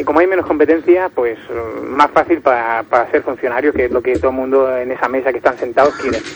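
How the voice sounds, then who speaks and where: Noticeable background noise sits under the speech. A man talks very fast at medium pitch, with ordinary pitch variation. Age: 20s. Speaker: caller. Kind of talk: casual chat.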